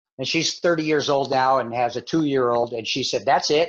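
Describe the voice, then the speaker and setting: A man's voice with music in the background. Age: 60s. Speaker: missionary. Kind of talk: interview.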